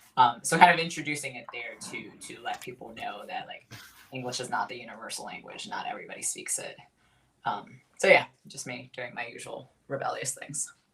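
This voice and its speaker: A whisper at a fairly quick pace. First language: Spanish. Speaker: podcast co-host, academic. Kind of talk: casual chat.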